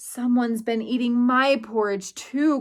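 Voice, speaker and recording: A woman growls in a put-on character voice, pitched high. She talks at a moderate pace. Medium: read story.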